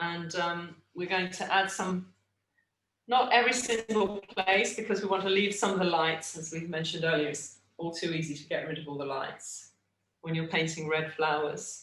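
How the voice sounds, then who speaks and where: Speaking at a moderate pace, a woman with an English accent has a fairly low pitch and ordinary pitch variation. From England. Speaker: art teacher. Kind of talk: tutorial. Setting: video call.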